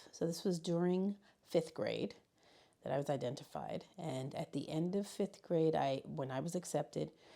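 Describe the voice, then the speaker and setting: A dark, mellow tone with vocal fry, ordinary pitch variation and a moderate pace. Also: woman. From US Northeast, Bronx, New York City, Puerto Rican family. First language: Spanish. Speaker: high school learning specialist. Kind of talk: interview. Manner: halting.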